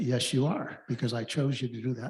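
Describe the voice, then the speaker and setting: At a moderate pace, a man talks at medium pitch with ordinary pitch variation and a somewhat breathy quality. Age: 80s+. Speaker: club member asking a question. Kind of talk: audience comment.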